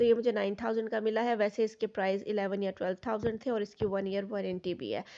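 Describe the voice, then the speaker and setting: A dark, mellow tone with monotone, flat intonation at a fairly quick pace. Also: woman, medium pitch for a woman, hardly any pauses. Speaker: vlogger. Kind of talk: casual vlog narration.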